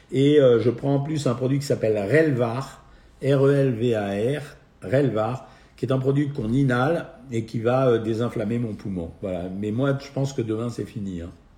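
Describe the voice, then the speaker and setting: With a dark, mellow tone, the man speaks fairly slowly in a medium pitch that is somewhat breathy, using ordinary pitch variation. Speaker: nutritionist doctor hosting a live Q&A. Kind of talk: live stream Q&A answering viewer questions. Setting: at home, live video stream.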